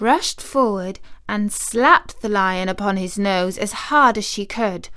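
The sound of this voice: This is an unforced reading voice. It is heard reading.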